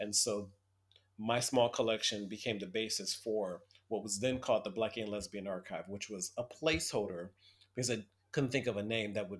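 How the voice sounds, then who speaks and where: In an American accent, a man uses a normal speaking voice. He talks at a fairly quick pace with fairly even intonation. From US Midwest, Toledo, Ohio. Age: 50s. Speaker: archivist. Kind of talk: interview.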